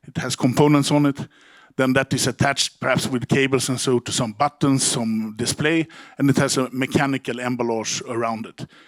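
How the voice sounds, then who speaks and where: In a strong Swedish accent, a man speaks at a medium pitch and a fairly quick pace with fairly even intonation, the sound dry and close with no echo. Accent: broad Swedish. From Sweden. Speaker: company CEO. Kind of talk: conference talk. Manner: halting, many repeated words.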